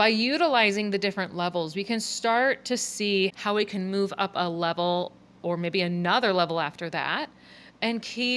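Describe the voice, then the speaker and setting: Recorded very cleanly against a silent background, a woman with a normal speaking voice talks at a moderate pace and medium pitch, her intonation lively. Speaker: podcast host and coach. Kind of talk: solo podcast monologue.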